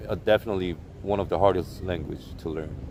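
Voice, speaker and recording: At a moderate pace, a man talks with a Korean accent. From South Korea, Seoul. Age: 30s. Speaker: live streamer. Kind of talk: casual chat. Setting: outdoors in a park.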